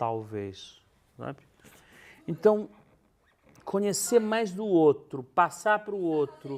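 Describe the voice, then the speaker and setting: Speaking at a very slow pace with long, frequent pauses, a man with a high pitch swings very widely in pitch and shows big swings in loudness. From northern Brazil, Belém. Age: 60s. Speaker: stage actor. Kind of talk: interview. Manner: animated storytelling.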